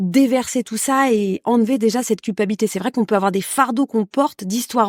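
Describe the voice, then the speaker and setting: Dry and close with no echo, a woman's fairly high voice moves at a fairly quick pace with ordinary pitch variation. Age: 40s. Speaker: podcast guest sharing love experience. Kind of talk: casual interview chat. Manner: hesitant, many fillers.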